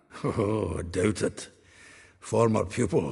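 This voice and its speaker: A man puts on a raspy character voice with a fairly low pitch. He talks at a fairly slow pace. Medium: video game. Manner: jovial, chuckling, folksy.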